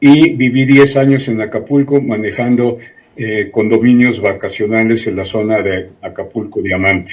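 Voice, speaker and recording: Fairly slow male speech at medium pitch with ordinary pitch variation, over noticeable background noise. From Mexico City. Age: 70s. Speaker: civil engineer, smart cities institute president. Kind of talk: TV interview.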